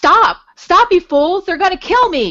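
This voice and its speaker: A shrill, put-on character voice from a woman, extremely high in pitch, with lively intonation. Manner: shrieking, panicked.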